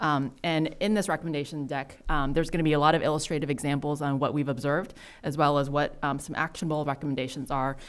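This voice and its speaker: With music in the background, a woman speaks at a very fast pace in a very deep, low pitch, her intonation fairly even. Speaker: city council member. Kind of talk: presentation at council work session.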